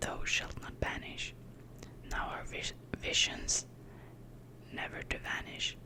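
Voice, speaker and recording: Whispered words come very slowly through noticeable background noise. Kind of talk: ASMR poetry reading. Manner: soft, whispered.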